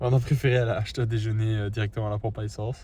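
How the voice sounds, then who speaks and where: A man sounds somewhat breathy on a very clean recording with a silent background. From Belgium, Liège. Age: 20s. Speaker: travel vlogger. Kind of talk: casual travel vlog; scripted intro narration.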